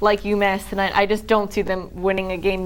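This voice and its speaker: Here a woman uses a normal speaking voice at a medium pitch. She talks at a fairly quick pace. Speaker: sports reporter. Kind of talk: sports radio commentary.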